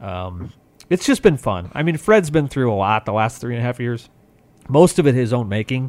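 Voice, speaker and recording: In an unremarkable speaking voice, the speaker goes at a fairly quick pace with lively intonation and big swings in loudness. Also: man. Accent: American. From small town Nebraska. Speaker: sports podcast host and writer. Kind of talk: casual sports podcast chat.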